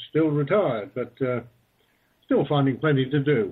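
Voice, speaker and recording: A man with a Falkland Islands accent speaks at a fairly high pitch. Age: 60s. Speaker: retired sheep farmer and marine police officer. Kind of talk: interview.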